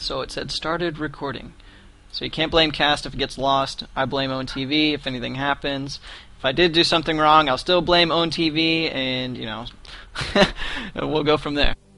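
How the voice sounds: The voice has a bright, sharp tone and vocal fry, moving at a moderate pace with fairly even intonation. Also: man, fairly high pitch for a man.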